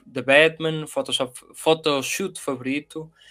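This is a man speaking with a European Portuguese accent. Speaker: podcast co-host. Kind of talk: casual chat.

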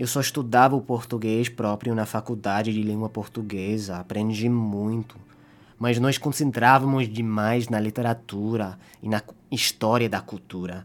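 This man has a medium pitch and an English accent. He speaks at a fairly slow pace. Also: fairly even intonation. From Canada. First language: English (speaking Portuguese). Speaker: linguistics student. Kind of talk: scripted narration.

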